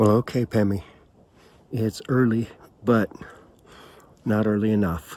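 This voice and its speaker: Quiet and monotone, with flat intonation, a man speaks at a fairly low pitch on a very clean recording with a silent background. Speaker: hiking vlogger. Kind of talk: solo vlog talking to camera. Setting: outdoors at a campsite. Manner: quiet, hushed.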